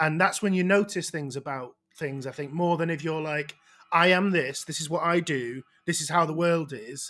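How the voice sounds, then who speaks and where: A man with a Manchester accent speaks at a moderate pace in a fairly high pitch, with ordinary pitch variation. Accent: Manchester-area northern English. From northern England, outside Manchester. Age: 30s. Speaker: comedian and podcast host. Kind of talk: casual chat. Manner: halting.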